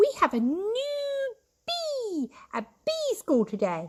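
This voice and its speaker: The squeaky, put-on character voice moves at a very slow pace. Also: woman, extremely high pitch for a woman. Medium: read story.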